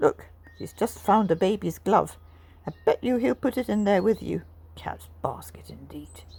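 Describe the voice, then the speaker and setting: A woman performs a put-on character voice. Her pace is moderate. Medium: read story. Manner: bouncy, blunt.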